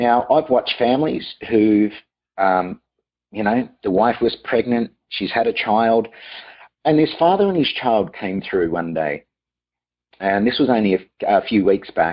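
A man with an Australian accent speaks at a fairly slow pace with lively intonation, leaving long, frequent pauses. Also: medium pitch for a man. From Australia, Melbourne. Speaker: private chef. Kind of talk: interview.

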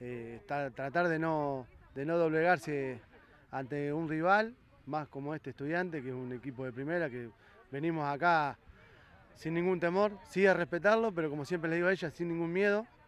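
A man with a Rioplatense accent talks in a fairly high pitch, and the sound is dry with no echo. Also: ordinary pitch variation, moderate pace. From Argentina, Buenos Aires province. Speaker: women's football coach. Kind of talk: post-match interview. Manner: halting, many fillers and repetitions. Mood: pleased after a win. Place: stadium. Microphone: handheld.

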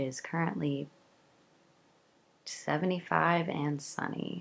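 Here a woman speaks at a very deep, low pitch. Her pace is fairly slow. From Kentucky. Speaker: lifestyle vlogger. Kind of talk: vlog narration. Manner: casual.

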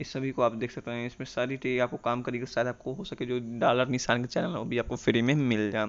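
A man's medium-pitched voice with fairly even intonation and hardly any pauses. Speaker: tech YouTuber. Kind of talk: tutorial.

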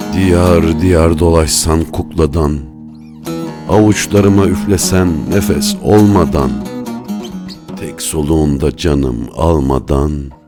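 A man with a very deep, low voice speaks at a very slow pace, leaving long, frequent pauses, with music playing in the background. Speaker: poetry narrator. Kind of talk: poetry reading.

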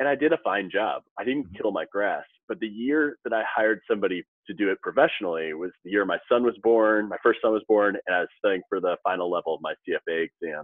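A man with an American accent talks at a fairly quick pace in a fairly low voice, a normal speaking voice. The sound is dry with no echo against a quiet background. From US Midwest, St. Louis; US Midwest. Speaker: financial advisor and author; podcast guest. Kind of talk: casual interview. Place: office.

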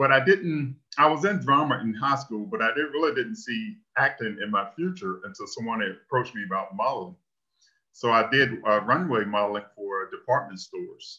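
Against a quiet background, a man speaks at a moderate pace in a bright, sharp tone with very wide pitch swings. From northeastern North Carolina (Elizabeth City); North Carolina. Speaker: engineering technician; presenter. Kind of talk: presentation. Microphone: webcam.

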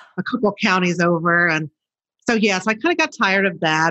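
A woman talks with a Chicago accent in a fairly low pitch and a bright, sharp tone. Her pace is fairly quick against a quiet background. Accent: Chicago American. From Chicago, South Side. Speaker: novelist, former TV journalist. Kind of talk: interview. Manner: conversational, uses fillers.

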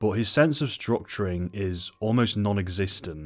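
A man with a very deep, low pitch and a southern English accent, ordinary pitch variation, at a moderate pace. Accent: British, southern English. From England. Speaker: book and film reviewer. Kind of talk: casual review talk to camera. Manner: witty, casual, swears a lot. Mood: sardonic, animated, swears a lot. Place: home room. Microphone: studio mic.

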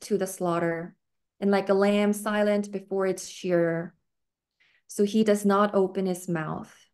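A woman's slightly mellow, medium-pitched voice, fairly even in intonation and fairly slow in pace.

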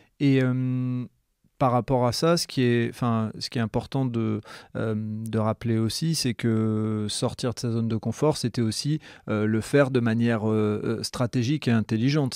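In a plain, everyday voice, a man speaks fairly slowly at medium pitch with fairly even intonation. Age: 40s. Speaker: podcast host. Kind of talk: casual interview.

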